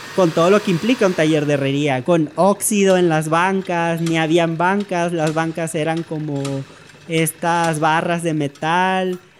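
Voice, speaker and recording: Fairly slow delivery against noticeable background noise. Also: man. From Mexico, Tenosique, Tabasco. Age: 20s. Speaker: storyteller. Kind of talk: personal testimony.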